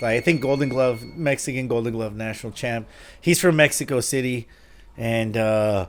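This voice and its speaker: With a plain, everyday voice, a man speaks at medium pitch and a moderate pace, using ordinary pitch variation. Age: 40s. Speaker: boxing coach and podcast host. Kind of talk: casual interview.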